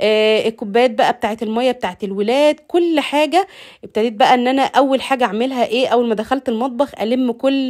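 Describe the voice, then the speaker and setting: A woman with an Egyptian accent speaks at a high pitch with ordinary pitch variation. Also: moderate pace, hardly any pauses, very even loudness. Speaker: lifestyle vlogger. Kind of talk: casual vlog narration. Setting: home kitchen.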